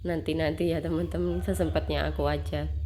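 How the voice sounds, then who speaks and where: Noticeable background noise runs under the recording. A woman is speaking. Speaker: homemaker vlogger. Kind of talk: casual vlog narration. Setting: at home. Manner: halting, many fillers.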